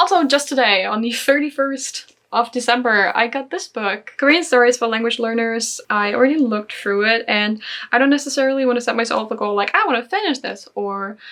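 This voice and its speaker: A high-pitched woman's voice in a German accent, fairly quick, with hardly any pauses and ordinary pitch variation. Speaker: language learning vlogger. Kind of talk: casual vlog.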